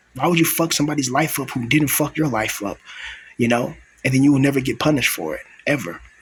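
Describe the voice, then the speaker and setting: A man whispers at a fairly quick pace. His voice is somewhat breathy. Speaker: vlogger. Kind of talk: personal vlog monologue. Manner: whispering; soft-spoken.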